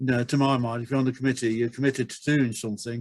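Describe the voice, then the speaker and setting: Here a man speaks at medium pitch with monotone, flat intonation. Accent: English. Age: 70s. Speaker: retirement village resident. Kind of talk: webinar discussion. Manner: halting, many repeated words.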